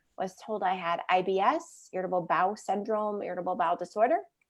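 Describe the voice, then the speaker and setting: In an unremarkable speaking voice, a woman talks fairly quickly at a medium pitch with fairly even intonation. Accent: American. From US Midwest. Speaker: wellness author. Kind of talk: interview.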